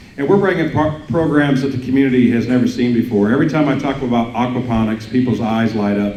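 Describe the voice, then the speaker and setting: A man with a Midwestern American accent at a very fast pace, hardly any pauses and ordinary pitch variation, with audible room echo and noticeable background noise. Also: medium pitch for a man. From mid-Missouri. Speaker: school district superintendent. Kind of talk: speech to business audience. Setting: breakfast event with audience. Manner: halting, many fillers.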